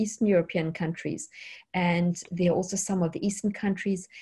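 Somewhat breathy and dark, mellow in tone, a woman speaks at a fairly quick pace and a medium pitch. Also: very clean recording, silent background. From South Africa. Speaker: programmer and online tech teacher. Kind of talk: interview.

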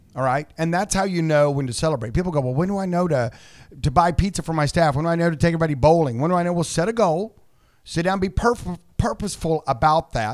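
Speaking very fast, a man with an American accent uses a high pitch, an animated tone and ordinary pitch variation. The recording is very clean and the background silent. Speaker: co-host, optometrist and entrepreneur. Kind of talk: radio host patter. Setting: radio studio.

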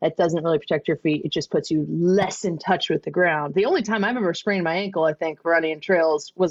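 The speaker has a normal speaking voice, moving at a fairly quick pace with ordinary pitch variation. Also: woman. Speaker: podcast host. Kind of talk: casual chat, interview.

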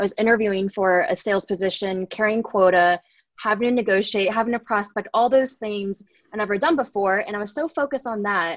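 In a plain, everyday voice with an American accent, a woman speaks at a fairly quick pace and medium pitch with ordinary pitch variation. The sound is dry and close with no echo, over a quiet background. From Texas, Dallas. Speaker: tech sales professional. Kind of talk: podcast interview.

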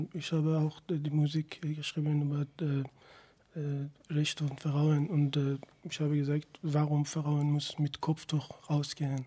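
A man with a Persian accent speaks at a fairly slow pace, somewhat breathy, in a dark, mellow tone and fairly high pitch. His intonation is monotone and flat, and the recording is very clean with a silent background. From Iran. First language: Persian (speaking German). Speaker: singer, musician. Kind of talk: radio interview. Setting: radio studio. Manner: halting.

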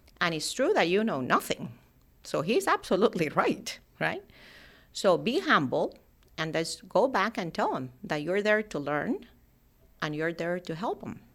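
Speaking with a Spanish accent, a woman uses lively intonation at a medium pitch. She keeps a moderate pace, broken by long, frequent pauses. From Colombia (Cali). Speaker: aerospace engineering manager. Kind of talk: interview. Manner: halting.

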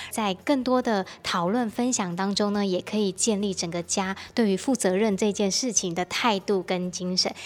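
Here a woman has a normal speaking voice with a medium pitch and fairly even intonation. She talks at a moderate pace with hardly any pauses. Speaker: radio host. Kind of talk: radio talk show interview.

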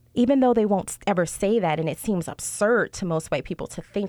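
A woman at medium pitch and moderate pace, dry and close with no echo, in a very clean recording over a silent background. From New Orleans. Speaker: doctoral researcher and social work student. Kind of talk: interview.

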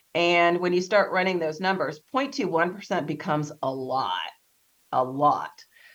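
Speaking at a very slow pace, a woman uses a fairly low pitch with ordinary variation. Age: 40s. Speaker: abortion survivor advocate. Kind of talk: interview.

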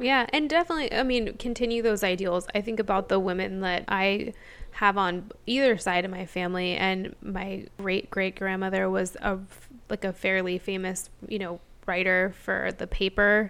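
A woman with an American accent speaks in a normal speaking voice at a moderate pace. Her pitch is medium, and the recording is very clean with a silent background. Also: fairly even intonation. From small town, US. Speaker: podcast co-host. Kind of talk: casual chat.

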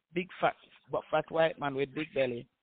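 A man with a strong Jamaican accent talks at a fairly quick pace in a monotone, flat delivery. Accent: Jamaican patois, strong.

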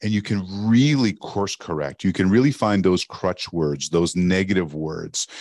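Against a quiet background, a man with a Canadian accent has an unremarkable speaking voice, fairly low pitch and ordinary pitch variation. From Canada, French-speaking part. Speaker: sales storytelling expert. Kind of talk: casual interview chat. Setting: remote call from Arizona.

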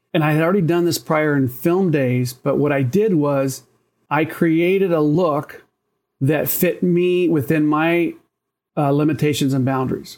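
The man has an ordinary speaking voice with a fairly high pitch and ordinary pitch variation, speaking at a fairly slow pace. His loudness stays very even, and the recording is very clean with a silent background. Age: 60s. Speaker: photographer. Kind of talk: interview.

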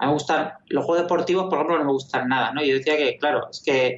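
A man talks with ordinary pitch variation. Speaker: video game programmer. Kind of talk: interview.

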